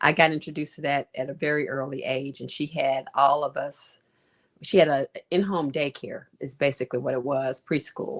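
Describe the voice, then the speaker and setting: In a Memphis accent, a woman with a very deep, low pitch speaks at a moderate pace with fairly even intonation on a very clean recording with a silent background. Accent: Southern US (Memphis). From US South, Memphis. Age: 70s. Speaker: physician and author. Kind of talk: interview.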